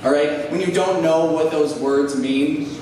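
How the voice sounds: Amid audible room echo and clear background noise, a man talks at a fairly high pitch and fairly slow pace with ordinary pitch variation.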